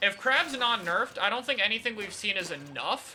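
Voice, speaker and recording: The delivery moves at a moderate pace over noticeable background noise. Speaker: competitive gaming streamer. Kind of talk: live stream chat answering viewer questions.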